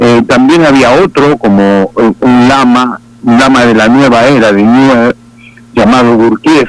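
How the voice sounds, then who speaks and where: A man talks at medium pitch and a moderate pace. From Argentina. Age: 60s. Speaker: pastor. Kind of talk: testimony. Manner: halting.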